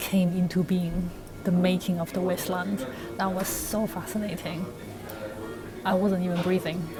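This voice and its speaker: A woman talks at a medium pitch with fairly even intonation. Noticeable background noise runs underneath. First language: non-English. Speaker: university student vlogger. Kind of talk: casual vlog talk. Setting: walking outdoors. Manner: conversational, with fillers.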